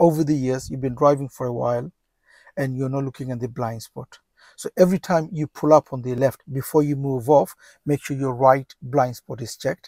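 Over a quiet background with dry sound and no echo, a man talks at a fairly quick pace with fairly even intonation. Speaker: driving instructor. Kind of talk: tutorial. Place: car. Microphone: lapel.

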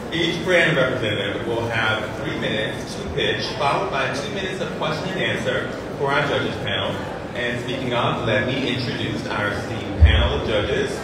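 Loud background noise and audible room echo surround the recording. A woman speaks at a fairly quick pace. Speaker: event host. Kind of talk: live event hosting. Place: hall.

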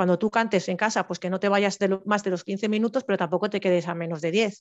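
A woman's medium-pitched voice at a fairly quick pace, with fairly even intonation and a quiet background. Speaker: civil servant, panel speaker sharing exam experience; guest. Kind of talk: informational talk, webinar. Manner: fast; halting, many false starts. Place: home room. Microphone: headset.

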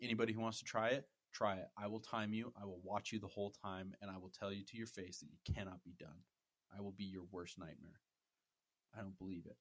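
Talking very fast, a man with a fairly low voice keeps a fairly even intonation while his loudness swings widely. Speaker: podcast host and dungeon master. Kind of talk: casual chat with D&D game narration. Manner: giggly.

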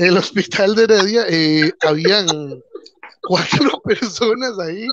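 With a Costa Rican accent, a man speaks over a quiet background in a dry sound with no echo. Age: 30s. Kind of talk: casual chat. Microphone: video call.

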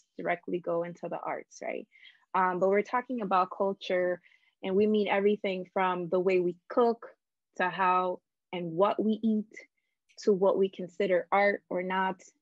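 A woman speaks at a moderate pace in a monotone, flat intonation, with a dry sound free of echo and a quiet background. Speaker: interviewee. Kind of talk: interview answer. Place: home room. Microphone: video call.

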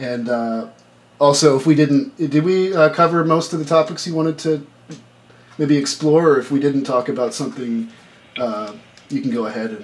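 Moderate-paced speech from a man with a fairly high voice, ordinary pitch variation, and long, frequent pauses. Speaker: interviewer and documentary maker; interviewer. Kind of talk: interview. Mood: calm, respectful. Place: home room. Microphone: video call.

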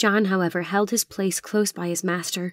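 A woman with a normal speaking voice talks at a moderate pace in a medium pitch with fairly even intonation. The recording is very clean with a silent background and a dry, close sound with no echo. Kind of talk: dramatic audiobook narration.

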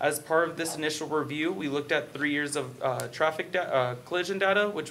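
Light background noise sits behind a man's voice. He speaks at a fairly quick pace with ordinary pitch variation. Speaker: presenter. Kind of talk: formal staff report presentation. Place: meeting room.

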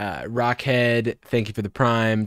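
Against a quiet background, a man is heard in a dry sound with no echo. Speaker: live streamer reacting to a TV show. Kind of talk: casual live-stream commentary. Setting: live stream, playing a show. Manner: casual, laughs often. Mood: amused, laughing. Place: home room.

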